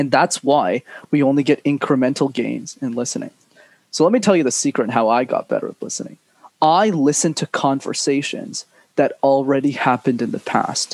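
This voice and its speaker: Spoken in a plain, everyday voice with a Canadian accent, the delivery moves at a fairly quick pace with lively intonation. The sound is dry and close, without echo. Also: man, fairly high pitch for a man. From Montreal, Canada. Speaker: public speaking coach. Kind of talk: interview conversation.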